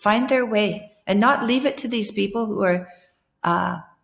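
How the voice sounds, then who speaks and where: Her voice is fairly high and somewhat breathy. The woman keeps a moderate pace with ordinary pitch variation. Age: 60s. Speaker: podcast host. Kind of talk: casual conversation.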